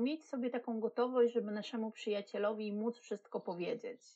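At a moderate pace, a woman speaks in a plain, everyday voice with a fairly high pitch. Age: 40s. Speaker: podcast co-host, marketing specialist. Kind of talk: casual chat.

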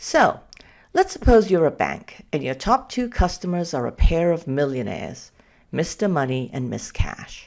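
Speaking at a moderate pace with a slight Danish accent, a woman uses a fairly low pitch with vocal fry and very wide pitch swings, captured on a very clean recording with a silent background. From Denmark. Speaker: analytics consultant and podcast host. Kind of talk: solo podcast talk.

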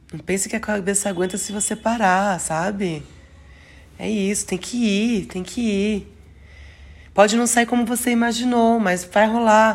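A woman with a fairly high, somewhat breathy voice talks at a fairly slow pace with fairly even intonation and long, frequent pauses. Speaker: astrology podcaster. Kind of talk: astrology forecast monologue. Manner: halting, self-correcting.

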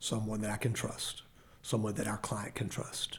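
A man speaks with a Texan accent at a moderate pace. His voice is somewhat breathy. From Texas (grew up in Temple). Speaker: mayor. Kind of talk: interview. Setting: studio. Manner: halting.

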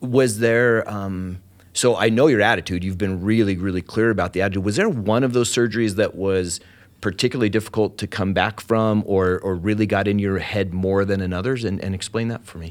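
A man with a fairly low pitch at a fairly quick pace, in an enthusiastic tone. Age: 50s. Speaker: podcast host. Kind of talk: interview.

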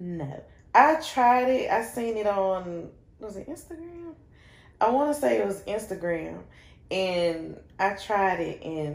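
Speaking at a very slow pace with a North Carolina accent, a woman uses a medium pitch, very wide pitch swings and big swings in loudness. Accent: Southern US (North Carolina). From Shelby, North Carolina. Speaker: business owner, shoe boutique founder. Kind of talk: casual interview chat.

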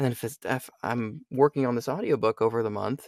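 A man with an American accent has an ordinary speaking voice at medium pitch with ordinary pitch variation. The sound is dry and close, with no echo. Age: 20s. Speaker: voice actor. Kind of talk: casual interview chat.

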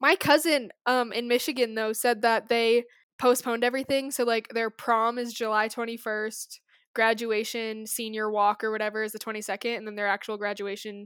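Fairly quick and fairly high-pitched, a woman with an American accent speaks in an unremarkable speaking voice with fairly even intonation, on a very clean recording with a silent background and a dry, close sound with no echo. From Colorado, US. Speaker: podcast co-host. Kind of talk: casual chat.

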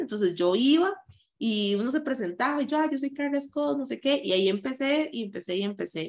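A woman with a Costa Rican accent speaks with very wide pitch swings. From Costa Rica, San José. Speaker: content creator and anti-racism activist. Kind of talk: interview.

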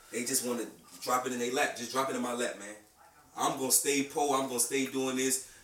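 Audible room echo and noticeable background noise surround a man with an American accent. He talks at a fairly quick pace with medium pitch and monotone, flat intonation. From South Carolina. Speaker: podcast co-host. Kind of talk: casual chat.

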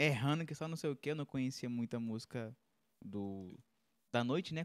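At a fairly quick pace, a man with an unremarkable speaking voice talks at a medium pitch with ordinary pitch variation, in a dry, close sound with no echo on a very clean recording with a silent background. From Horizonte, Ceará, Brazil. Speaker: musician and sound technician. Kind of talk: casual live-stream chat. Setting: live stream studio.

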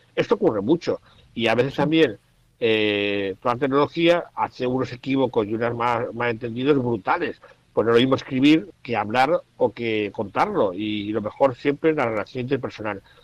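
This is a man with an ordinary speaking voice, medium pitch and ordinary pitch variation, talking at a moderate pace in a dry, close sound with no echo. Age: 50s. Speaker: journalist and writer, blind since 18. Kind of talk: radio interview, casual talk.

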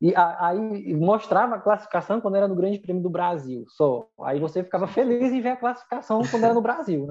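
Pitched high, a man talks at a fairly quick pace with hardly any pauses. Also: lively intonation. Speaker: podcast co-host. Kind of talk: casual podcast chat.

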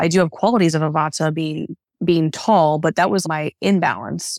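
A woman with a Midwestern US accent speaks at a very deep, low pitch. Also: very clean recording, silent background. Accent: General American, Midwestern. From US Midwest, Northeast Ohio. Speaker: Ayurvedic practitioner and yoga teacher. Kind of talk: interview, casual conversation.

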